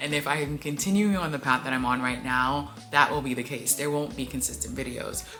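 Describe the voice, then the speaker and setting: A woman talks in a very deep, low voice. Background noise is noticeable. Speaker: small YouTuber vlogger. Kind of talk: casual vlog to camera. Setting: recording alone on camera. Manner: fast; rambling with filler words.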